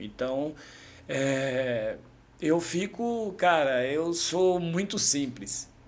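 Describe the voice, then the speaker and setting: With lively intonation, a man talks in a space carrying audible room echo. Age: 50s. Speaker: amateur triathlete and shop owner. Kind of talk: casual chat. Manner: halting.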